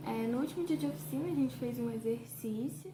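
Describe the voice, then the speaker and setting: A woman speaks with a fairly high pitch. Noticeable background noise runs behind her. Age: 20s. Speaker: journalism student and audiovisual artist. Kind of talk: casual talk to camera about her art.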